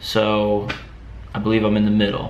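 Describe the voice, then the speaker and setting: A man speaks with a plain, everyday voice at a medium pitch. His pace is moderate. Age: 20s. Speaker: fitness vlogger. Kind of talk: casual talk to camera.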